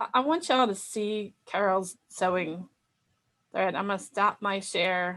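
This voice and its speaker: A woman is speaking. She has a Delaware accent. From Delaware, US. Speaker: sewing software instructor. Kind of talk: online class.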